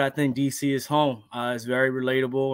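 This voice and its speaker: A man with an unremarkable speaking voice and an American accent talks at a moderate pace in a fairly high pitch. The sound is dry with no echo, and the background is quiet. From Silver Spring, Maryland (DC area). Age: 20s. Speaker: podcast co-host, teacher. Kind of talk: casual chat. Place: home room. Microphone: webcam.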